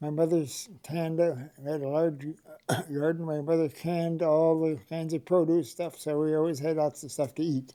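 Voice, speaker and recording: A man's fairly high voice in an Upper Midwest accent, dark and mellow in tone, at a moderate pace with monotone, flat intonation. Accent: Upper Midwest (Minnesota). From Minnesota (Rush City area). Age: 80s+. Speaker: oral history interviewee. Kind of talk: oral history interview. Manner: halting, many fillers.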